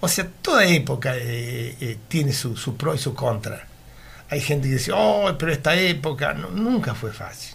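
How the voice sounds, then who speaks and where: Through audible room echo, a man at medium pitch speaks at a fairly slow pace with lively intonation and vocal fry. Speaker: retired meat delivery worker. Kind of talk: radio interview, reminiscing. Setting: radio studio. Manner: halting, repetitive.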